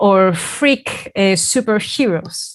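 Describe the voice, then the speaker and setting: With a non-native accent, a woman speaks very slowly with lively intonation. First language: not English. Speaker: academic presenter. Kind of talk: conference talk. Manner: halting, many filler sounds.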